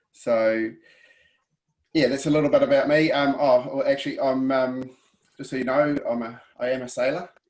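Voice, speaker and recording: A man with a New Zealand accent, fairly high in pitch, at a moderate pace with long, frequent pauses. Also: fairly even intonation. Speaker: weather app company presenter, sailor. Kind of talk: webinar presentation. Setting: video call.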